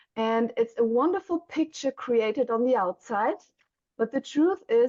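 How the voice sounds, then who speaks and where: Speaking in a German accent, a woman uses a fairly high pitch with very wide pitch swings at a fairly slow pace. The sound is dry and close, with no echo. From Germany. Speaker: mentor for young mothers and author. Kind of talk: podcast interview.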